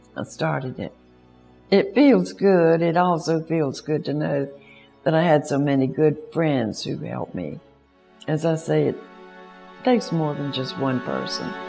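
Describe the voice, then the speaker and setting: A woman speaks at a fairly slow pace, leaving long, frequent pauses. Music plays in the background. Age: 80s+. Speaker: founder of a family planning organization. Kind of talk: interview answer.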